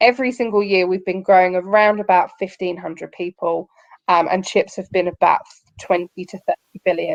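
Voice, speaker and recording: Recorded dry and close with no echo, a woman in an English accent speaks at medium pitch with fairly even intonation. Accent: very English. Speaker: company recruiter presenting to students. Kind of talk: online careers presentation.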